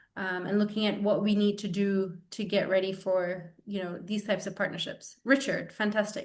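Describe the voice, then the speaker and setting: In a room with audible echo, a woman at a medium pitch talks at a moderate pace with fairly even intonation and hardly any pauses. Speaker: webinar moderator. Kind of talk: online town hall moderation.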